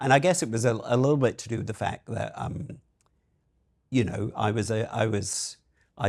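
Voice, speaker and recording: Somewhat breathy man's voice at a medium pitch. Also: very clean recording, silent background. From Scotland. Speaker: marketing executive. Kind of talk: podcast interview. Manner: hesitant, many fillers.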